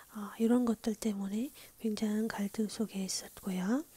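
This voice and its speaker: Whispering, the speaker stays soft-spoken throughout. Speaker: Korean history teacher (ASMR study lessons). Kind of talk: history lesson, ASMR whisper teaching. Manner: whispered, soft-spoken.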